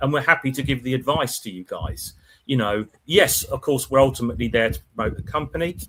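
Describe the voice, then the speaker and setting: The man's voice sits at a medium pitch, with vocal fry and ordinary pitch variation. He moves at a fairly quick pace, and his loudness swings a lot. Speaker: die-cast toy auction specialist. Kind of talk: casual podcast chat. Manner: loud and brash.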